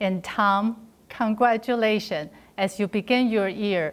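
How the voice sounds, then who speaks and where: In a very clean recording with a silent background, a woman with a Chinese accent speaks at a medium pitch. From China. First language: Mandarin Chinese. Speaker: district governor-elect, club volunteer. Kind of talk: prepared congratulatory speech.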